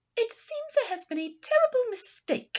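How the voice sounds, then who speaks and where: A woman's squeaky put-on character voice, extremely high-pitched, with very wide pitch swings, at a moderate pace. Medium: read story.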